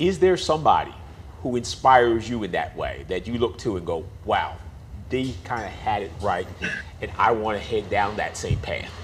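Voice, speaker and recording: Music plays in the background as a man speaks in an animated tone with audible room echo. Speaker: podcast co-host. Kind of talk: interview. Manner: fast.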